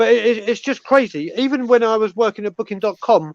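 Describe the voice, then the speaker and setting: A very fast voice with a British accent and ordinary pitch variation, dry and close with no echo against a quiet background. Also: man. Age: 40s. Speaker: football fan. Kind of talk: casual chat.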